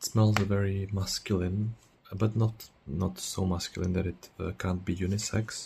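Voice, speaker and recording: Speech comes at a moderate pace. The voice is soft-spoken. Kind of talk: ASMR perfume review.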